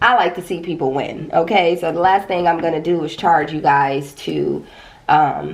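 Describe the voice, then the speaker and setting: The voice shows ordinary pitch variation, with audible room echo in the recording. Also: woman. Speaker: tarot reader. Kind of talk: tarot reading. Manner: casual, conversational.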